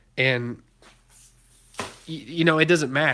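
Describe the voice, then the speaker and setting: Speaking very slowly with an American accent, a man has a bright, sharp tone and fairly even intonation. The recording is very clean, with a silent background. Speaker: car YouTuber. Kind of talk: live stream chat. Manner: casual, rambling.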